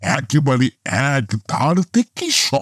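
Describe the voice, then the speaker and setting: A man does a put-on character voice with very wide pitch swings, recorded with a dry, close sound and no echo. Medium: audio drama. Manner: lively, conversational.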